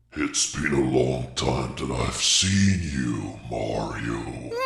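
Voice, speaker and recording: A man's put-on character voice, growling and very deep, at a very slow pace, with slight echo and loud background noise. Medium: solo performance. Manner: taunting, menacing.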